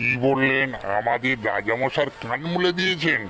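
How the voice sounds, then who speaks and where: A man's cartoonish character voice at medium pitch and moderate pace, over clear background noise. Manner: gruff, irritable.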